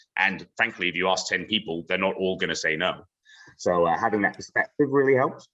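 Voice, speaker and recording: A man's very deep, low voice with a bright, sharp tone, ordinary pitch variation and a fairly quick pace. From Bermuda. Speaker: sales trainer, webinar speaker. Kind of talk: webinar Q&A. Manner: fast; expressive.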